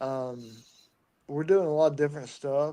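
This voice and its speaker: The man's tone is dark and mellow, and his intonation fairly even. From Tennessee, local. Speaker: distiller. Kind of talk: casual chat. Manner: halting.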